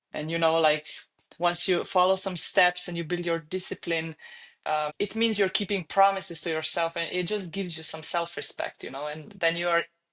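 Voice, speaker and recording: Moderate pace and fairly even intonation in a Slovenian accent. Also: woman, fairly low pitch for a woman. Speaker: online fitness coach. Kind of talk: podcast interview.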